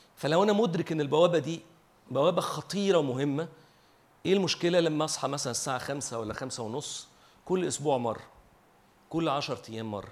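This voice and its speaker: A man speaks at a moderate pace in a fairly high pitch. Audible room echo surrounds his voice. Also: ordinary pitch variation. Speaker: preacher. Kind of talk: sermon.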